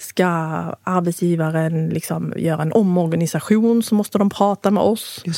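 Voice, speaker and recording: A woman with an unremarkable speaking voice talks at a fairly slow pace with ordinary pitch variation. The sound is dry and close with no echo, in a very clean recording with a silent background. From moved to Sweden at age five. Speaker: union representative. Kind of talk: casual chat.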